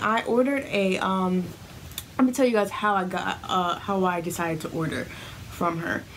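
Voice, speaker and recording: A woman speaks with lively intonation. Light background noise can be heard. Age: 20s. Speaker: beauty vlogger. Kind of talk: unboxing review. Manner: casual, chatty. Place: home room.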